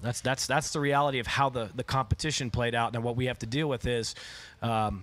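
Fairly even intonation marks this man's speech. He talks at a fairly quick pace. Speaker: head coach. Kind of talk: interview answer. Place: hall. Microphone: podium.

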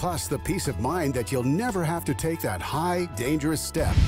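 Music plays in the background. A man talks at a very even loudness. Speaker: announcer. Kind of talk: TV commercial read.

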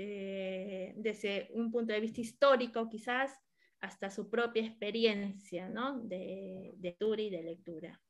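With an Argentine accent, a woman speaks at a very slow pace and with fairly even intonation over a quiet background. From Argentina. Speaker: moderator, popular educator. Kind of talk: moderated panel. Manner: halting, many fillers. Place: home room. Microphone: video call.

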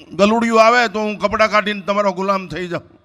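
A man's high-pitched, raised and projected voice, delivered in a monotone, flat intonation. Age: 70s. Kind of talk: religious discourse.

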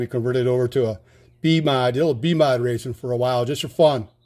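Over a quiet background, a man with a dark, mellow tone speaks at a fairly quick pace with fairly even intonation. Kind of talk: casual vlog chat. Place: garage. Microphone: phone near.

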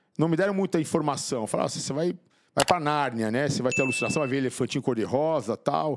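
Noticeable background noise runs behind the recording. A man speaks with lively intonation. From São Paulo, Brazil. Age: 50s. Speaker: motivational speaker and author, former drug addict; podcast guest. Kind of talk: interview testimony. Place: studio. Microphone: studio mic.

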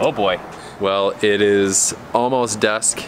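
Noticeable background noise sits behind a man speaking at a fairly low pitch with ordinary pitch variation. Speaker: family RV vlogger. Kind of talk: casual vlog chat. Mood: upbeat, relaxed. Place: street. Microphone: phone near.

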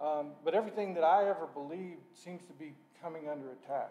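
Audible room echo surrounds a man talking at a fairly quick pace with ordinary pitch variation. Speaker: lay preacher. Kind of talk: sermon. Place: church. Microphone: podium.

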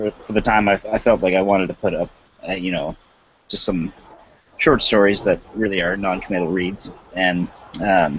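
This man speaks at a moderate pace with a fairly low pitch and fairly even intonation. The sound is dry with no echo, and there is light background noise. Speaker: podcast co-host. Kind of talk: panel discussion answer. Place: home room. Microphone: headset.

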